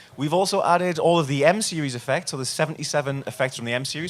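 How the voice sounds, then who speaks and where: A man speaks with a northern English accent. He talks at a very fast pace. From northern England. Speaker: product demonstrator. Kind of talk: product demo. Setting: trade show stage.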